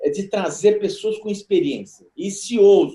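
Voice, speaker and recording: This man's voice sits high for a man and has a dark, mellow tone. His pitch swings very widely. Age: 60s. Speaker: company board chairman. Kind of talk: panel debate. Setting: video call.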